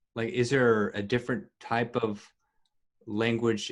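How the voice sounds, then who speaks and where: An American accent from a man, pitched in the medium range. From Texas. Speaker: podcast host and musician. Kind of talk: casual interview chat. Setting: video call.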